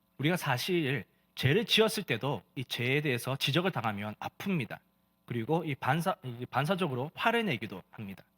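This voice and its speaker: In a very clean recording with a silent background, a man with a fairly high voice makes very wide pitch swings at a moderate pace. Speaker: pastor. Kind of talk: sermon.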